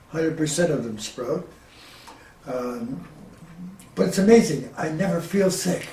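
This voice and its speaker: Over noticeable background noise and audible room echo, a man with a fairly high pitch and lively intonation speaks at a fairly slow pace with long, frequent pauses. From Ontario, Canada. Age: 80s+. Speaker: inventor. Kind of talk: interview. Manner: halting.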